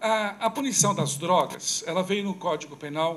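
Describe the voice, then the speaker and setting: A man's high voice with ordinary pitch variation, over light background noise. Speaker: criminal law speaker at a debate; speaker. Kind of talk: lecture. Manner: fast. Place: hall. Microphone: podium.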